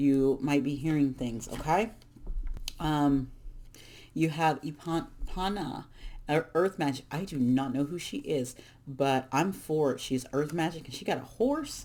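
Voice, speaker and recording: With long, frequent pauses, a woman talks at a fairly slow pace in a very deep, low pitch and a dark, mellow tone. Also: ordinary pitch variation. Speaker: tarot reader. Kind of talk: tarot reading monologue. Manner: casual, halting with restarts.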